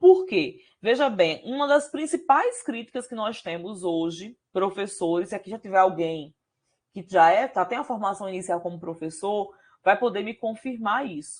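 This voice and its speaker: A woman speaks in an ordinary speaking voice at medium pitch against a quiet background. Her pace is moderate, her intonation lively, and her loudness swings widely. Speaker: university professor. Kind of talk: lecture.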